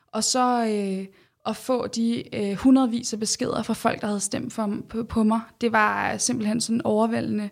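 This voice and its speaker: On a very clean recording with a silent background, a woman with a fairly high pitch talks at a fairly slow pace in a monotone, flat intonation. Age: 20s. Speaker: doctor and regional councillor. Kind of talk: interview. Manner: hesitant, with many fillers.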